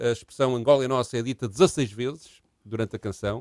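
A man speaks at a fairly quick pace in an unremarkable speaking voice, medium in pitch, with fairly even intonation. The sound is dry and close, with no echo. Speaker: history podcast co-host. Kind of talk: casual chat.

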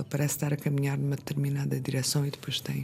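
Her voice very deep and low in pitch, a woman speaks in a dark, mellow, somewhat breathy tone. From Azores (São Miguel / Pico). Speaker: novelist. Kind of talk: casual interview. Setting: radio studio.

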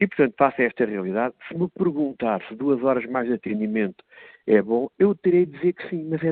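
A man talks fairly quickly, his intonation lively. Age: 50s. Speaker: member of parliament, political commentator. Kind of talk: political commentary.

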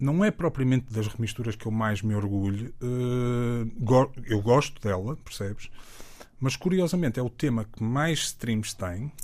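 The recording is very clean, with a silent background. A man at medium pitch talks at a fairly slow pace with ordinary pitch variation. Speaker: music producer and DJ. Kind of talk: casual interview chat. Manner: halting, repeats words.

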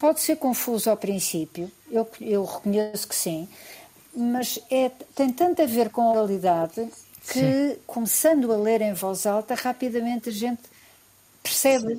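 A woman speaks at a fairly slow pace in a fairly high pitch with lively intonation. Background noise is noticeable. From Portugal, Lisbon. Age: 70s. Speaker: biologist and writer. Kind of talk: radio interview.

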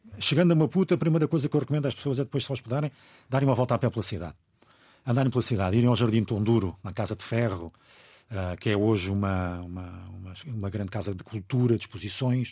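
A man talks in a very fast pace with long, frequent pauses, using a medium pitch, a dark, mellow tone and lively intonation. His voice is somewhat breathy, and the recording is very clean with a silent background. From Angola. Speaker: radio broadcaster. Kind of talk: casual chat.

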